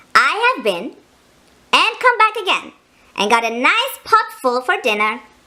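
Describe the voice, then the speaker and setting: In a put-on character voice, a woman squeaks at an extremely high pitch with very wide pitch swings and a cheerful tone. She keeps a moderate pace but takes long, frequent pauses. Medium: read story. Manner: cheerful, clever.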